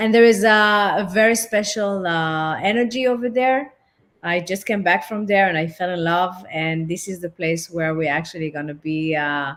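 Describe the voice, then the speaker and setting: Ordinary pitch variation at a moderate pace. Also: woman, medium pitch for a woman. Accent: French. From France. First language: French. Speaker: relationship and intimacy therapist. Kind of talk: interview. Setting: online platform.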